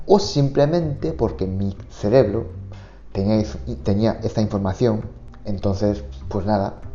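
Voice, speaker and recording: A man speaks at a fairly low pitch with ordinary pitch variation while music plays in the background. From Japan. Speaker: Japanese teacher. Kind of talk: podcast monologue. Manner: casual, conversational.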